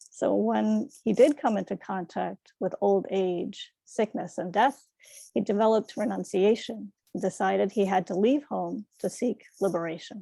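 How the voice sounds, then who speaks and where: On a very clean recording with a silent background, a woman with an American accent speaks at a fairly slow pace and medium pitch, with ordinary pitch variation. Her dark, mellow tone carries vocal fry, and the sound is dry and close with no echo. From New York City. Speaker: Buddhist dharma speaker. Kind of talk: dharma talk.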